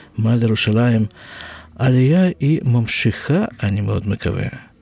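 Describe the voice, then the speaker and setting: A man with a Russian accent. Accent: Russian-accented Hebrew. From Russia (Siberia). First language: Russian (speaking Hebrew). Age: 60s. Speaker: podcast host, nurse. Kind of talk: personal storytelling monologue. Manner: halting.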